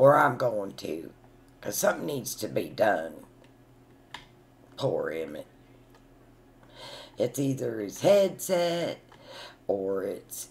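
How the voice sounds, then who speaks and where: A put-on character voice, raspy and at a low-to-middle pitch, goes at a fairly slow pace with long, frequent pauses. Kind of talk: comic character monologue. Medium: solo performance. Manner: chatty, rambling, indignant.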